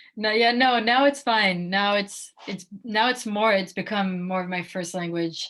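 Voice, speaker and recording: With fairly even intonation, a woman talks at a moderate rate. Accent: French. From France. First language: French. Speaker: professional basketball player. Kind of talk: interview. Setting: video call.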